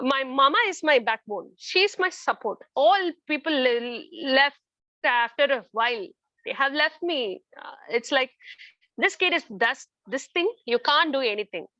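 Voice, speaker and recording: Raising and projecting her high-pitched voice, a woman speaks at a fairly slow pace with lively intonation and a bright, sharp tone. The sound is dry and close with no echo, over a quiet background. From India. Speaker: parent of a child with a rare disease. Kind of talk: testimony.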